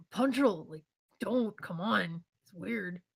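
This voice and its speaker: In a put-on character voice that sounds female, the speaker talks gruffly at a fairly slow pace. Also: medium pitch for a woman. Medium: actual play.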